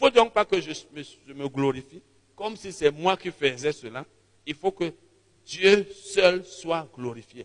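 Fairly slow speech carried by lively intonation. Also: man. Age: 50s. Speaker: preacher. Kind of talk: sermon.

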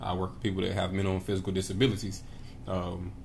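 A man speaks at a very deep, low pitch. His voice is somewhat breathy. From Tennessee, Knoxville. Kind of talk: casual chat.

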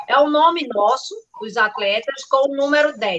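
Talking at a fairly slow pace, a woman has a high pitch. Her pitch variation is ordinary. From Carpina, Pernambuco, Brazil. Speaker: trail runner. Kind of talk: live podcast chat.

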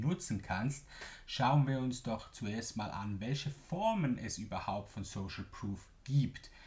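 Speaking very slowly with a Swiss German accent, a man uses a somewhat breathy voice at a medium pitch. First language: Swiss German (speaking German). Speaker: business podcast host, marketing coach. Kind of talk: solo podcast explainer.

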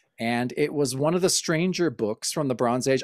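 Lively intonation comes through at a fairly quick pace in an American accent. The recording is very clean, with a silent background and a dry, close sound with no echo. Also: man. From Oregon, US Pacific Northwest. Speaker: podcast host, comic book fan. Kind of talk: casual chat. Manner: halting, frequent repetitions.

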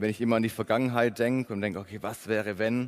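Speaking at a fairly quick pace, a man keeps a monotone, flat intonation. His pitch is medium. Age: 20s. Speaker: preacher. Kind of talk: sermon. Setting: church service.

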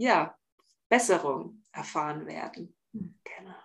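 The woman's voice sits at a medium pitch. She talks very slowly. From Bavaria, near Augsburg. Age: 30s. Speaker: relaxation coach for highly sensitive people. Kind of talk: podcast interview.

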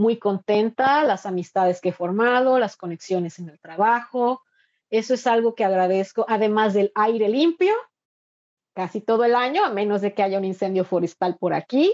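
With ordinary pitch variation, a woman speaks at a fairly high pitch and a moderate pace. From Mexico, Veracruz coast. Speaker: migrant and university instructor. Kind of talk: interview. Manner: halting with frequent repetitions.

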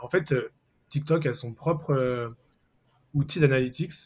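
Fairly high in pitch and somewhat breathy, a man speaks with fairly even intonation. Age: 30s. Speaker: SEO agency manager. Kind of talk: casual interview.

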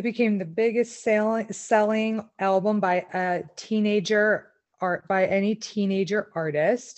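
With an ordinary speaking voice, a woman talks at a fairly slow pace in a medium pitch, her intonation fairly even and hardly any pauses in between. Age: 30s. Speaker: podcast co-host. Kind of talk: casual chat.

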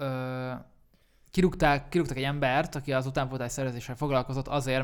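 Flat and monotone, a man speaks at a medium pitch. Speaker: rapper and songwriter. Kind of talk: casual chat.

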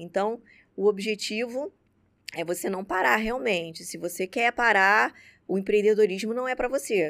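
At a moderate pace, a woman with a medium-pitched voice speaks with lively intonation on a very clean recording with a silent background. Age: 30s. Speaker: dentist and entrepreneur. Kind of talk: interview conversation. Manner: halting, many fillers.

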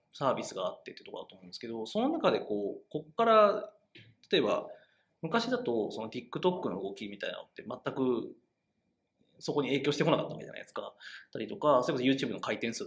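A man speaks at a very fast pace. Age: 30s. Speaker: web media editor, podcast co-host. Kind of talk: casual discussion podcast.

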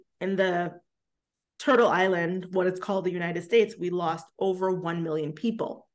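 A woman with an American accent speaks at a medium pitch and a fairly slow pace over a quiet background, in an ordinary speaking voice. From New York City, Brooklyn. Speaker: embodiment practitioner and coach. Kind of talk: interview.

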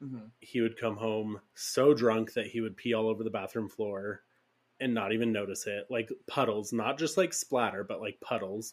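A man with an unremarkable speaking voice, medium in pitch, fairly even in intonation, at a moderate pace, in a very clean recording with a silent background. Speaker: podcast co-host. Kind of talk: casual chat, storytelling.

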